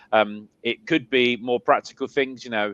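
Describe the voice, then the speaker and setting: Medium-pitched male speech with an English accent and a dry, close sound with no echo. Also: quiet background. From South London, England. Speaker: spiritualist medium and minister. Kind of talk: interview. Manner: halting, many fillers and repeats.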